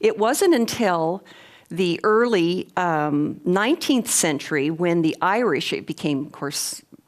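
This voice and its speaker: A woman's unremarkable speaking voice at medium pitch, with lively intonation and a fairly slow pace. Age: 60s. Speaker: lecturer on clairvoyance. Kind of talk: lecture.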